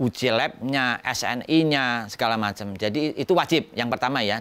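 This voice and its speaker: Lively intonation carries a man's fairly slow delivery. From Central Java, Pekalongan. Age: 50s. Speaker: educational toy maker. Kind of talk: interview.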